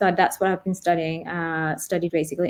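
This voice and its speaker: A dark, mellow tone comes through in an American accent on a very clean recording with a silent background. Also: woman. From Denmark. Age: 30s. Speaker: YouTube vlogger, cancer patient. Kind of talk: interview testimony. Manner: halting; mumbling.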